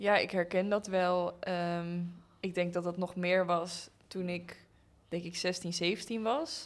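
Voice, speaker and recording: The very clean recording with a silent background captures a woman speaking at a fairly low pitch and a very slow pace, with monotone, flat intonation. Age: 20s. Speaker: pedagogy student. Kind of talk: casual chat.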